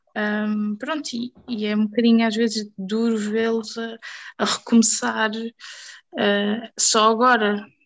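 The delivery is monotone and flat, at a very slow pace. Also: woman, fairly high pitch for a woman. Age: 20s. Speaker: hospitality trainer. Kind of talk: casual chat.

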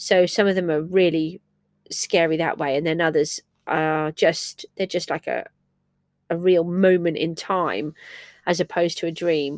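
In a very clean recording with a silent background and a dry, close sound with no echo, a woman with an English accent speaks fairly slowly, her pitch fairly low and her intonation fairly even. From England. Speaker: crafts podcaster. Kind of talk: casual solo monologue. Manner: halting, many fillers; slow, disjointed.

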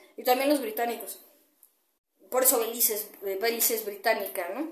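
The intonation is lively as a woman talks. Her delivery is fairly quick. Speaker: podcaster and kickboxer. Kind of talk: monologue commentary. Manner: hesitant, many fillers.

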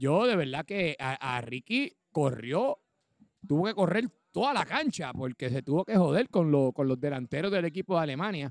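Using a normal speaking voice, a man with a fairly high pitch and lively intonation speaks at a moderate pace in a dry, close sound with no echo. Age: 40s. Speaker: podcast co-host and amateur footballer. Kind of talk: casual sports chat.

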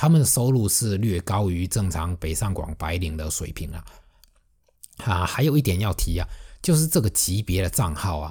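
Somewhat breathy and dark, mellow in tone, a man with a Fujian accent speaks at a moderate pace in a very deep, low pitch on a very clean recording with a silent background. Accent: Fujian accent in Mandarin. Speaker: music blogger and podcast host. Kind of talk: solo podcast monologue. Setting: alone at a microphone.

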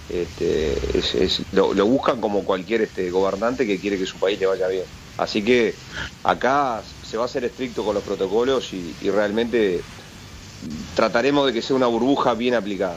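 A man speaks at a moderate pace in a fairly low voice with ordinary pitch variation. Noticeable background noise runs under the recording. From Uruguay. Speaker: sports official. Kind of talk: interview.

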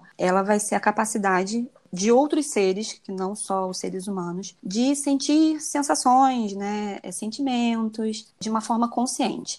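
This is a woman with an ordinary speaking voice, fairly high in pitch with ordinary pitch variation. She talks with hardly any pauses on a very clean recording with a silent background. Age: 30s. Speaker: dentist and vegan recipe influencer. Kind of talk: casual interview chat.

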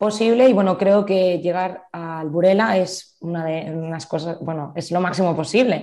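A woman's dark, mellow tone at medium pitch, moderate pace and ordinary pitch variation. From Spain, Zaragoza. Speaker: futsal player. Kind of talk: interview.

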